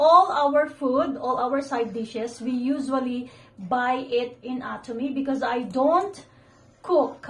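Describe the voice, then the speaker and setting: A woman with a high pitch talks very slowly, her intonation fairly even. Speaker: home vlogger. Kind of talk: casual vlog chat, product unboxing. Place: home room. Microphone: phone near.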